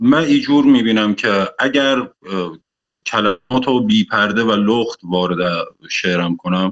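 The speech moves at a very slow pace, with a dry, close sound and no echo. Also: man, medium pitch for a man, ordinary pitch variation. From Iran, Khuzestan (Andimeshk). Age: young. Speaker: poet. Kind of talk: interview. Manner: halting.

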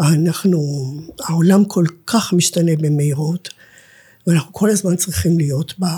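A woman speaks in a fairly low, somewhat breathy voice with a dark, mellow tone and fairly even intonation. Her loudness stays very even, broken by long, frequent pauses. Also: moderate pace. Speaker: nonprofit director and academic lecturer. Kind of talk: interview conversation.

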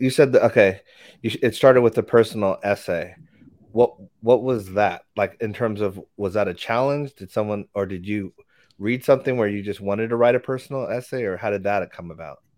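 Over a silent background in a very clean recording, a man with a normal speaking voice talks at a fairly quick pace in a medium pitch, with ordinary pitch variation and big swings in loudness. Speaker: podcast co-host. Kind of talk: casual chat.

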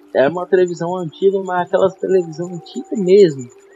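A man's high-pitched voice against noticeable background noise. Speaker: podcast host. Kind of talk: casual interview.

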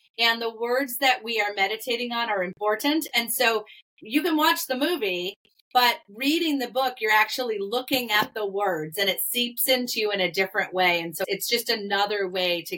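A woman's unremarkable speaking voice at a fairly quick pace with lively intonation. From Massachusetts. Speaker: author and filmmaker. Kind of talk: interview.

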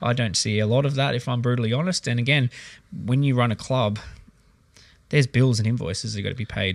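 The speaker has an Australian accent and talks at a very fast pace. Pitch varies in an ordinary way. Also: man. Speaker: basketball club manager and coach. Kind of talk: casual chat.

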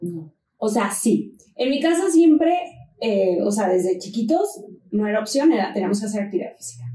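Very wide pitch swings at a moderate pace. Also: woman, fairly high pitch for a woman. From Mexico, La Paz (Baja California Sur). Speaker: fitness influencer and trainer. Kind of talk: casual interview chat.

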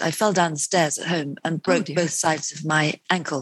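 With a British accent, a woman speaks at a fairly low pitch and a moderate pace in monotone, flat intonation. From UK. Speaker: nutritionist and author. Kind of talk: interview.

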